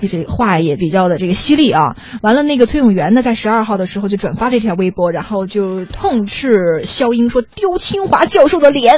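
Noticeable background noise sits under a woman's fairly quick speech. Her fairly high pitch moves in very wide swings. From China, Shaanxi (Weinan). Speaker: radio host. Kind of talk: casual chat. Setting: studio.

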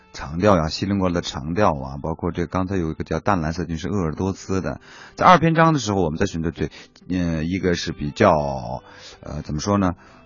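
Very fast talk from a man with a very deep, low pitch and ordinary pitch variation. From Inner Mongolia. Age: young. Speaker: stage director. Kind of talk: interview. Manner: halting.

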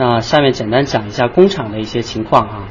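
A man at a medium pitch keeps a moderate pace while noticeable background noise continues. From China, ethnic Korean community. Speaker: factory manager. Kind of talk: guided factory tour explanation.

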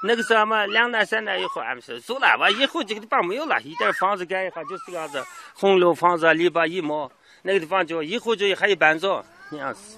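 Over noticeable background noise, a man with a high pitch speaks fairly quickly in a raised, projected voice. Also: lively intonation. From Xinjiang, Lop Nur area. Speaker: villager interviewee. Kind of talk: field interview. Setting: outdoors. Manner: halting.

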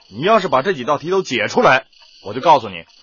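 Putting on a character voice, a man talks fast at a medium pitch, with a husky, rough edge, a fairly bright tone and big pitch swings.

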